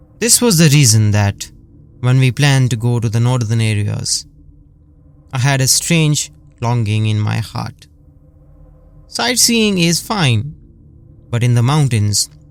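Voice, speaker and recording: There is noticeable background noise as a man talks in a dramatic tone at medium pitch. His pace is fairly slow, with ordinary pitch variation. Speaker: horror story narrator. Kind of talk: horror story narration. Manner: chilling, dramatic.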